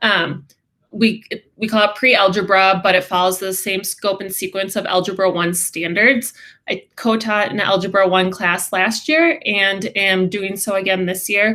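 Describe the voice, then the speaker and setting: A woman talks with a Midwestern accent at a medium pitch. Her tone is bright and sharp, her intonation fairly even. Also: moderate pace. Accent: Midwest. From Wisconsin. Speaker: special education teacher. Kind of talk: class introduction presentation.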